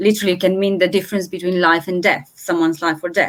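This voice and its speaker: A woman speaks with a Romanian accent. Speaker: translator. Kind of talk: panel discussion.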